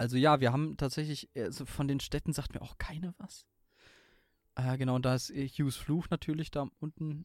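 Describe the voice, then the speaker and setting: With a dry, close sound and no echo, a man speaks at a moderate pace with a fairly high pitch and fairly even intonation. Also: very clean recording, silent background. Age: 20s. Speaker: gaming podcaster and streamer. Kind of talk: casual chat.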